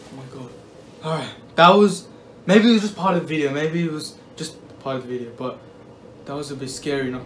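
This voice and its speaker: Over light background noise, a man speaks at a very fast pace with big swings in loudness. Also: ordinary pitch variation. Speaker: vlogger. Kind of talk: casual vlog chat. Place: home room. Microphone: phone near.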